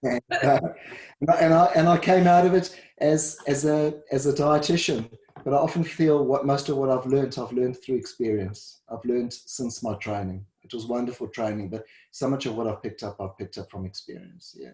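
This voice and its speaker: With a South African accent, a man speaks fairly quickly in a fairly high, somewhat breathy voice of dark, mellow tone, his intonation lively and his loudness swinging widely. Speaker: dietitian and first responder. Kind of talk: interview. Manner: halting, repeats words.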